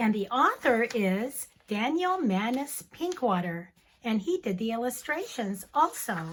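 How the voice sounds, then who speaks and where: Fairly high in pitch, a woman delivers her lines in a dramatic tone with very wide pitch swings. Her pace is fairly slow. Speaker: teacher. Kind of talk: children's story reading. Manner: dramatic, expressive.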